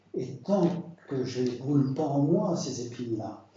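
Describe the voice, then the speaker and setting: Amid audible room echo, a man speaks at a medium pitch with ordinary pitch variation. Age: 70s. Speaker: preacher. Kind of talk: sermon. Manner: halting.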